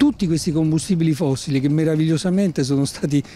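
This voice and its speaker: Light background noise sits behind a man speaking. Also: dry sound with no echo. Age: 60s. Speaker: environmental organization spokesperson. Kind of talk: interview. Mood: calm, explanatory. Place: street. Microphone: handheld.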